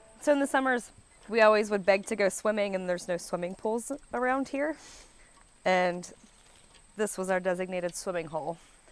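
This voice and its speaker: With an Appalachian accent, a woman speaks at a fairly quick pace yet leaves long, frequent pauses. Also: medium pitch for a woman, lively intonation. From West Virginia, Pocahontas County. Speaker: musician from a farming family. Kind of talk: interview.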